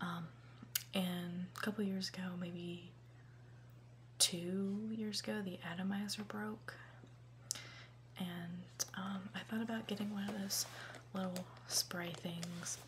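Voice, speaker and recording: Soft-spoken and at a very slow pace, the voice comes with long, frequent pauses over noticeable background noise. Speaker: college student. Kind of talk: ASMR unboxing, casual chatting.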